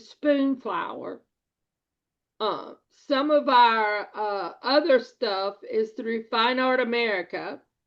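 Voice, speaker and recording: The pace is very slow. The intonation is lively. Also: woman. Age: 60s. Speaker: video newsletter host, print-on-demand seller. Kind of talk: casual explainer chat.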